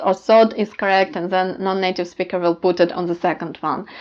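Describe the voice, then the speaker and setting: A woman speaks in a Ukrainian accent with monotone, flat intonation. The background is quiet. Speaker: language teacher. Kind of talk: tutorial. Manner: halting, many fillers.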